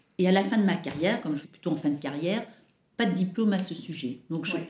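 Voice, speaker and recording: Somewhat breathy, a woman speaks in a fairly low pitch with ordinary pitch variation. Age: 50s. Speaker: airline employee. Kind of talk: interview. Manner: hesitant, many fillers.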